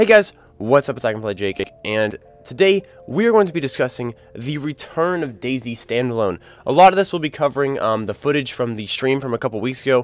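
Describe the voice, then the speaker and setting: Over music in the background, the voice moves at a fairly quick pace with very wide pitch swings. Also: man, medium pitch for a man. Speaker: gaming youtuber. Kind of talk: video game commentary. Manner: casual, many fillers.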